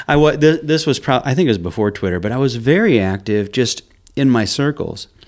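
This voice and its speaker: A man speaks at a medium pitch and a fairly quick pace. He has an unremarkable speaking voice. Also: lively intonation. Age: 50s. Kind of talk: casual interview chat. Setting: studio.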